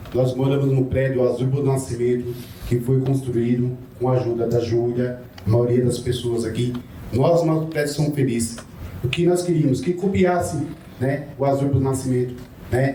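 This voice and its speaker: Very even loudness at a moderate pace, with noticeable background noise and audible room echo. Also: man, medium pitch for a man. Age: 60s. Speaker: former homeless resident, social housing tenant. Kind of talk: public testimony at seminar.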